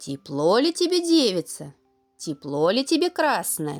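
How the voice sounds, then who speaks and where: A female-sounding, put-on character voice sits at a fairly high pitch with very wide pitch swings. Faint music plays in the background. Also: moderate pace. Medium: read story.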